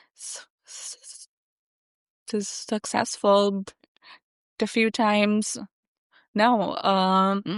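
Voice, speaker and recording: Dry and close with no echo, the voice proceeds very slowly. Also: woman. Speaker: software engineer and accessibility advocate. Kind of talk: interview. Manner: halting.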